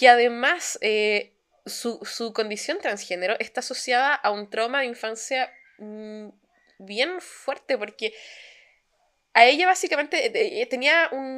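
A woman's high voice, bright and sharp, with a Chilean accent, lively intonation, and a very slow pace. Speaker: podcast co-host. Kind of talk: casual chat.

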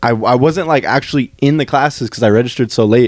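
Pacing is moderate. It is an unremarkable speaking voice, and the pitch varies in an ordinary way. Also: man. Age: 20s. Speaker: podcast host. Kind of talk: casual chat.

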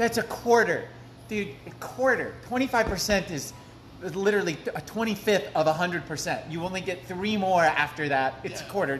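Over noticeable background noise, a man with a high pitch and lively intonation speaks at a fairly slow pace. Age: 20s. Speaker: podcast host. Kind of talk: casual chat. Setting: cafe.

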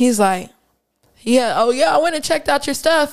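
Delivered in a normal speaking voice, the lines come at a fairly quick clip with lively intonation. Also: woman. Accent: American. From Pittsburgh, then St. Louis and Kansas City. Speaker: rapper and event organizer. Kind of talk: casual interview. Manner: laughs often.

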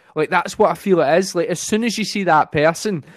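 At a very fast pace and with an animated tone, a voice with a Scottish accent shows ordinary pitch variation in a dry, close sound with no echo. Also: man. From Scotland, Ayrshire (Kilmarnock). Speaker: comedian. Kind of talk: casual chat. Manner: fast talker.

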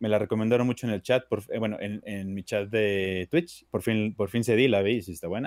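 With a normal speaking voice, this man talks at a moderate pace and fairly low pitch, using fairly even intonation and hardly any pauses. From Mexico, Durango (northern Mexico). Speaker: streamer. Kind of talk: casual chat.

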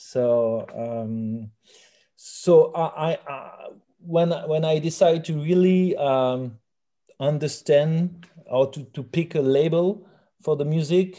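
A man speaks very slowly in a French accent, his tone dark and mellow. His pitch varies in an ordinary way over a quiet background. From rural France. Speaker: musician. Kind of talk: interview. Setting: phone call. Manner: halting.

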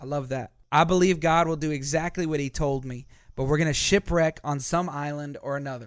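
Using a normal speaking voice, a man at fairly high pitch talks at a fairly quick pace with fairly even intonation on a very clean recording with a silent background. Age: 20s. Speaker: pastor. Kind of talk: sermon; casual chat.

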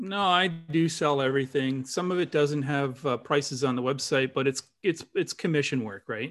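In a very clean recording with a silent background, a man with a Canadian accent and fairly high pitch speaks in an ordinary speaking voice at a moderate pace, with ordinary pitch variation and hardly any pauses. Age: 60s. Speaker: dowser and spiritual teacher. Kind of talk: casual interview chat.

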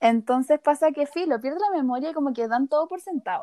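Heard in a dry, close sound with no echo, a woman with a dark, mellow tone speaks at a moderate pace. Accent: Chilean. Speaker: podcast co-host. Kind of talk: casual chat. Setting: recording from her bed.

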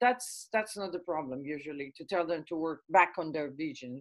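A woman is talking. Her pace is moderate. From Israel. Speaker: business coach. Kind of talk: interview.

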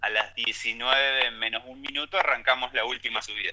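The speaker here is a man. Noticeable background noise can be heard. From Argentina, Ayacucho (Buenos Aires province). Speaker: mountain bike racer and cycling coach. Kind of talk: interview, casual chat.

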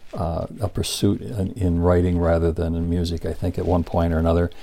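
With a dark, mellow tone, a man talks at a very deep, low pitch. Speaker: podcast host, musician. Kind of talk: casual interview chat. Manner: casual, filler-heavy, repeats words.

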